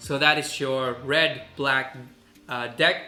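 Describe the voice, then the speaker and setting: Amid noticeable background noise and audible room echo, a man with a fairly high voice speaks at a fairly slow pace. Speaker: gaming video creator. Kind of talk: gameplay update commentary. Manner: casual with fillers.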